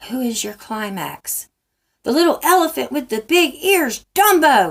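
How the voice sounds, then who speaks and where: A woman performs a put-on character voice at a moderate pace, her high pitch moving in very wide swings. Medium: read story.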